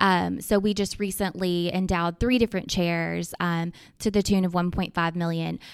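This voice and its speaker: A woman in an Arkansas accent, at a medium pitch with monotone, flat intonation, on a very clean recording with a silent background. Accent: Southern US (Arkansas). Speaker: children's charity fundraiser. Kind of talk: podcast interview.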